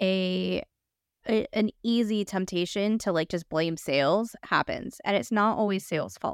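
A woman speaks with a Los Angeles accent at medium pitch and ordinary pitch variation. The sound is dry and close, with no echo. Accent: Los Angeles, some vocal fry. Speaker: podcast host. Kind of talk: casual interview chat.

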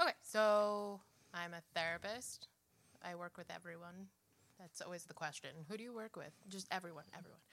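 A woman has an ordinary speaking voice, with fairly even intonation at a moderate pace. Her loudness rises and falls in big swings. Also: medium pitch for a woman. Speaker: therapist. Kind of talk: casual chat.

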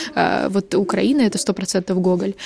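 The woman's voice is somewhat breathy, with a medium pitch. Her tone comes across dark and mellow. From Ukraine, Odesa. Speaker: journalist, podcast co-host. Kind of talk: casual chat.

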